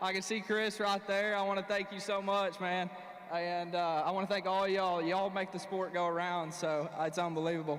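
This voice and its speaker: A man's high, monotone voice with flat intonation, very even loudness and a fairly quick pace, plus noticeable background noise and audible room echo. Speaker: professional bass angler. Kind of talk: on-stage interview. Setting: stage with audience. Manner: halting.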